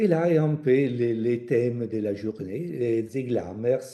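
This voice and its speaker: A man talks at medium pitch with ordinary pitch variation and a dark, mellow tone. Audible room echo surrounds the voice. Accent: Italian. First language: Italian (speaking French). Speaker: cultural project manager. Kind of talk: online webinar presentation. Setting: online video conference. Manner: halting, non-native French.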